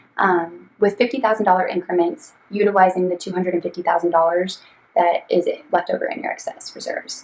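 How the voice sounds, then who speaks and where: A woman's medium pitch with ordinary pitch variation at a fairly quick pace. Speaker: financial planner. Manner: fast; hesitant, many ums.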